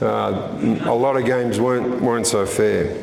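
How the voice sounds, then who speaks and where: A man with an Australian accent speaks at a fairly slow pace, with audible room echo and noticeable background noise. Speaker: history author. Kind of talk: history talk to a live audience. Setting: stage with audience at a history event.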